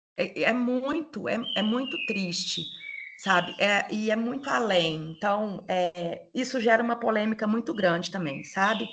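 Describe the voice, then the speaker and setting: Over noticeable background noise and audible room echo, a woman with a fairly high pitch speaks at a fairly slow pace with lively intonation. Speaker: lecturer, educational psychologist. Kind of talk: online lecture.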